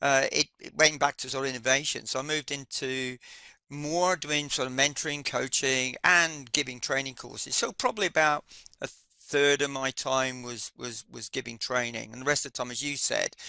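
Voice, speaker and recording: Bright, sharp tone from a man with a British accent, fairly high pitch, fairly even intonation, big swings in loudness, a moderate pace, and a dry, close sound with no echo. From UK. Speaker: project management instructor. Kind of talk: casual chat. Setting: live webinar. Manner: hesitant, many fillers.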